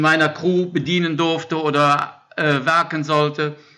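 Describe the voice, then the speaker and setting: In a plain, everyday voice, a man speaks at a fairly high pitch with fairly even intonation. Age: 50s. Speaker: support crew member for an ultra-cycling racer. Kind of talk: casual chat. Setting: shared laptop during work break. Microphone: shared microphone, good sound.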